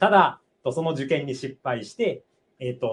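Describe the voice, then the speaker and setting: This man has a medium-pitched voice. It sounds somewhat breathy. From Japan, Aichi. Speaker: doctoral student. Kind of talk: testimony. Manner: halting.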